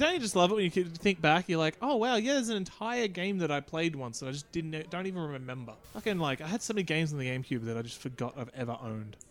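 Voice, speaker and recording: Talking at a very fast pace, a man with a fairly high pitch swings very widely up and down. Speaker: podcast co-host. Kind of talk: casual banter. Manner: joking, swears a lot.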